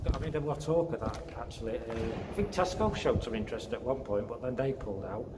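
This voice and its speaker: There is loud background noise. Through it, a man talks. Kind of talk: casual vlog chat. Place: empty room. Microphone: phone near.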